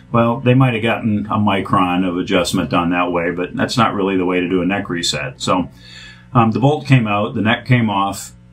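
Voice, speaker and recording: Music plays in the background as a man with a fairly low pitch and ordinary pitch variation speaks at a moderate pace. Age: 50s. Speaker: guitar restorer. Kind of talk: product demo. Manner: casual.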